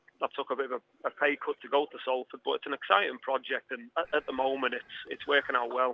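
A man with a Liverpool accent at a fairly quick pace. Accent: Scouse. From Liverpool, England. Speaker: footballer. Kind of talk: radio interview.

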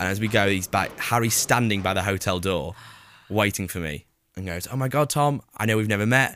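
In a very clean recording with a silent background, a man speaks with a Lancashire accent and a bright, sharp tone. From northern England, Preston. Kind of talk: casual chat. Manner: animated.

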